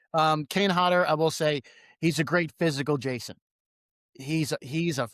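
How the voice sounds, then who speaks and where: Dry and close with no echo, a man talks at a fairly quick pace with an American accent. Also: very clean recording, silent background. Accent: New York accent, noticeable at times. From New York. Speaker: podcast host. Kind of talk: casual chat. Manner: animated.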